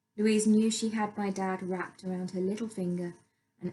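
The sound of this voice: An unforced reading voice carries fairly even intonation. Nothing much sounds behind it.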